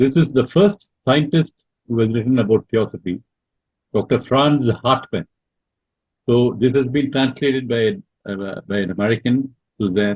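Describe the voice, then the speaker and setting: Somewhat breathy and at a medium pitch, a man speaks with long, frequent pauses. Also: ordinary pitch variation, moderate pace. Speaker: lecturer on theosophy. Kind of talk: online Q&A talk. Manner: halting, many fillers.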